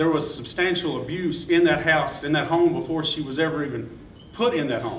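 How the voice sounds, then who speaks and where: A man with a Kentucky accent talks at a fairly quick pace in a fairly high voice. His intonation is fairly even, with noticeable background noise. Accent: Kentucky Southern. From Todd County, Kentucky. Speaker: journalist, award winner. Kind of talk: acceptance speech. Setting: breakfast event with audience. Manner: halting.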